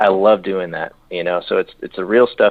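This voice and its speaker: The speaker talks at a very fast pace. There is a slight Southern accent. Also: man. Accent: slight southern twang. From California, San Diego. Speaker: country singer-songwriter. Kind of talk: radio interview. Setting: phone call. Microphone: phone line.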